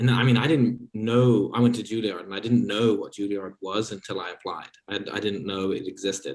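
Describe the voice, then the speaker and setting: Hardly pausing, a man with an American accent speaks at a fairly quick pace. His pitch is medium and his intonation fairly even. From London, UK. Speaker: actor. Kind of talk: casual interview.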